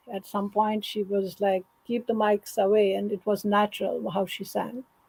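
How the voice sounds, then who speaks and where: A woman speaks at a medium pitch in a monotone, flat way. Her voice is somewhat breathy and her pace moderate. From Kashmir, India. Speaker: singer. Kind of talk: interview conversation. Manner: halting.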